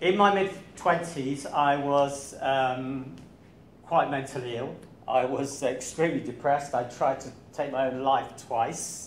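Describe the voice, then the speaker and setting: With an English accent, a man talks at a fairly slow pace in a fairly high pitch, showing ordinary pitch variation amid noticeable background noise and audible room echo. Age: 60s. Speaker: running coach. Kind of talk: talk to club audience. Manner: hesitant, many fillers.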